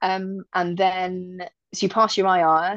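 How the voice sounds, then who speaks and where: A woman speaks with a British accent at a fairly low pitch. The sound is dry and close with no echo, over a quiet background. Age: 30s. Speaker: airline pilot. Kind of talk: casual chat.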